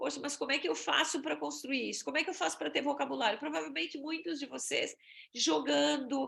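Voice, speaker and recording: A woman's high, bright and sharp voice with lively intonation. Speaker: exchange agency presenter. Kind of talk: webinar presentation.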